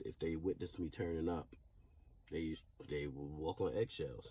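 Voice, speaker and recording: At a moderate pace, a man speaks in a dark, mellow tone that is somewhat breathy. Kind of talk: personal testimony. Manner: stuttering; halting.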